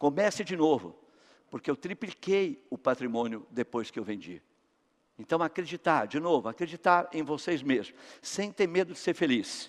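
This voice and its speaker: A man talks at a moderate pace in a fairly high pitch, his intonation lively and edged with vocal fry. The sound is dry and close, with no echo. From Brazil, São Paulo. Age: 60s. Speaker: company founder and speaker. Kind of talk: motivational talk.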